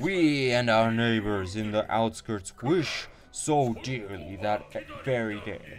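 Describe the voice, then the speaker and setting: Putting on a booming character voice at a medium pitch, a man speaks at a fairly slow pace over clear background noise. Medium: solo performance. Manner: grandiose, booming laughter.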